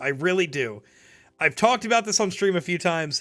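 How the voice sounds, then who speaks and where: In a raised, projected voice, a man with an American accent speaks with lively intonation and a bright, sharp tone. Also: very clean recording, silent background. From New Jersey. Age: 20s. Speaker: streamer. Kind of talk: live stream Q&A, reading chat questions. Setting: live stream. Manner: casual, filler-heavy with false starts.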